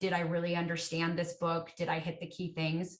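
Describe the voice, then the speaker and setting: A woman is speaking in a fairly low pitch. Her voice is somewhat breathy. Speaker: education software account executive. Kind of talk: webinar product Q&A.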